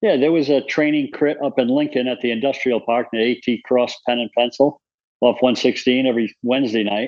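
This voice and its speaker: A man's medium-pitched voice, fairly even in intonation, at a moderate pace, a plain, everyday voice. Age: 60s. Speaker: amateur cyclist. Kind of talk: casual chat.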